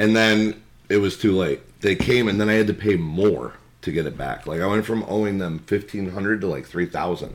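A man's fairly low voice, a plain, everyday voice, at a moderate pace with ordinary pitch variation. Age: 30s. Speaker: podcast guest. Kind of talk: casual chat.

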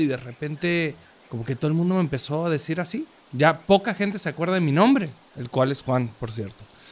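This is a man with an unremarkable speaking voice and a fairly high pitch. He talks at a fairly quick pace with lively intonation. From Córdoba, Argentina. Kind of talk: casual chat.

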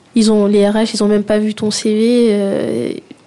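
A woman's fairly high voice has a dark, mellow tone and a monotone, flat intonation. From Guadeloupe. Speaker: young engineer job seeker. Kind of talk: radio interview.

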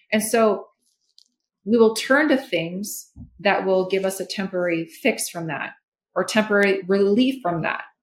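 A woman with an American accent and a plain, everyday voice, ordinary pitch variation and a moderate pace. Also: medium pitch for a woman. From Minnesota. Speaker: holistic therapist. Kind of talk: interview conversation.

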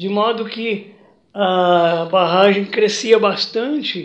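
A man's high-pitched voice. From Minas Gerais, Brazil (Triângulo Mineiro). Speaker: retired teacher and local historian, artist. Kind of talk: interview, personal life story.

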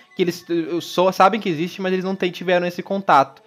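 Noticeable background noise is audible. Over it, a man talks with a high pitch. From Brazil, interior of Paraná. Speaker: film podcast host. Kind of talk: casual chat. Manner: halting, many repetitions and fillers.

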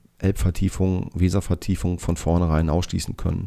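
A man's very deep, low voice with a dark, mellow tone, at a moderate pace. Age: 40s. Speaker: political candidate and engineer. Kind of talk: campaign self-introduction monologue. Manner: hesitant, frequent filler sounds.

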